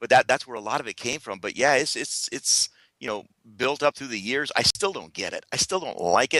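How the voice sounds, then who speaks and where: A man of medium pitch talks at a fairly quick pace in a bright, sharp tone with vocal fry and big swings in loudness, the sound dry and close with no echo. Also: lively intonation, quiet background. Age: 50s. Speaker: radio broadcaster, speaker. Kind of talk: radio interview answer.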